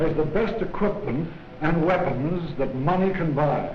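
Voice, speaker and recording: A man with a fairly high pitch speaks fairly slowly amid noticeable background noise. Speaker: army general. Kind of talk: public speech announcing a loan drive.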